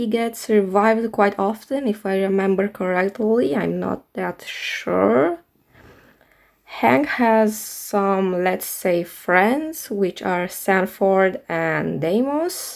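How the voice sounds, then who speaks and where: Speaking at a very slow pace, a woman uses lively intonation. Her pitch is medium. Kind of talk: speedpaint commentary.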